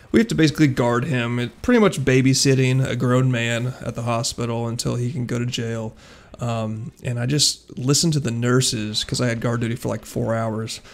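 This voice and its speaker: This man has an ordinary speaking voice at a medium pitch, with fairly even intonation. He talks at a fairly quick pace with hardly any pauses. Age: 20s. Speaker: YouTuber and police officer. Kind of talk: casual vlog monologue. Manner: casual, filler-heavy.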